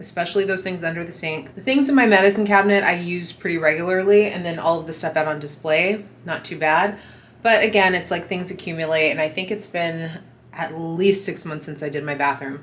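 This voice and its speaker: At a fairly quick pace, a woman speaks with fairly low pitch and ordinary pitch variation in a room with audible echo. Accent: American. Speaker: lifestyle vlogger. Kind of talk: casual vlog tutorial.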